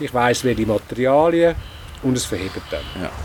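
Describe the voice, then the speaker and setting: Fairly slow speech with lively intonation over noticeable background noise. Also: man. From Switzerland, canton Zurich. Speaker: farmer. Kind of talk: interview. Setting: on a farm.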